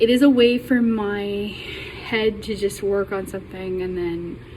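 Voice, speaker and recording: With audible room echo and noticeable background noise, a woman speaks at medium pitch with an American accent. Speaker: college student. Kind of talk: class self-introduction. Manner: halting, many ums.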